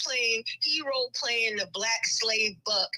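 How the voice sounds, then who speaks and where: The voice is raised and projected, moving at a fairly slow pace with lively intonation. Noticeable background noise sits behind it. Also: woman. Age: 60s. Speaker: caller. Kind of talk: casual chat.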